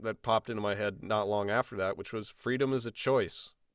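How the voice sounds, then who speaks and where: A man with an American accent, a plain, everyday voice, medium pitch, a moderate pace, and a dry, close sound with no echo. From Illinois. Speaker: podcast host. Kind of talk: casual chat. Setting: video call.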